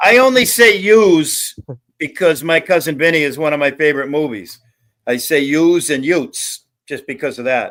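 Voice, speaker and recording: A man with a plain, everyday voice speaks at a moderate pace and a fairly high pitch, with lively intonation. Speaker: panel guest. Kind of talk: casual chat.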